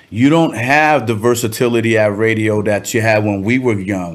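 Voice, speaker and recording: A man with a Cuban American accent, fairly low in pitch, at a moderate pace with ordinary pitch variation. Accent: Cuban-American Los Angeles English. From Cuba, raised in South Gate, Los Angeles. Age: 50s. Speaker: rapper. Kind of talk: casual chat.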